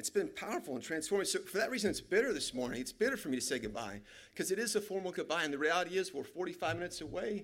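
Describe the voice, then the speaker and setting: A man talks at a very fast pace in a high pitch. His voice makes very wide pitch swings. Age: 40s. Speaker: pastor. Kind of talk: sermon.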